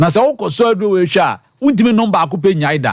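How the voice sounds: A man with high pitch, lively intonation and a fast pace.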